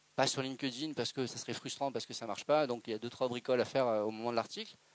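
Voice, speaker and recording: Speaking at a very fast pace, the man keeps a medium pitch and fairly even intonation. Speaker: presenter at a business breakfast talk. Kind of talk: Q&A answer at a talk.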